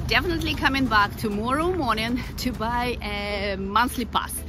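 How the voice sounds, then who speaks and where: Clear music plays behind a woman speaking at a fairly slow pace. The sound is dry with no echo. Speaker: travel vlogger. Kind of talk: casual vlog chat. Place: street. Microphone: phone near.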